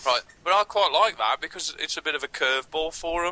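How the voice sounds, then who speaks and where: Speaking in a strong Birmingham accent, a man with a fairly high pitch, ordinary pitch variation and a bright, sharp tone talks at a fairly quick pace, recorded with a dry, close sound and no echo. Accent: heavy Birmingham. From Birmingham, England. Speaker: comedy podcast co-host. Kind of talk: casual chat.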